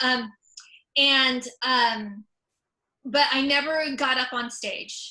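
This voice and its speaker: In a Californian accent, a raised, projected voice delivers words at a very slow pace with fairly even intonation and long, frequent pauses. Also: woman, high pitch for a woman. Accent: Californian American. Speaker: comedian and author. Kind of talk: presentation. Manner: many fillers and repetitions.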